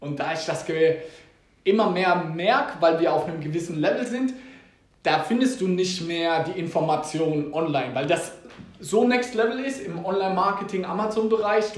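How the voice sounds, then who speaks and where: With audible room echo and noticeable background noise, a high-pitched man talks at a moderate pace with ordinary pitch variation. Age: 20s. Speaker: podcast host. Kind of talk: casual chat.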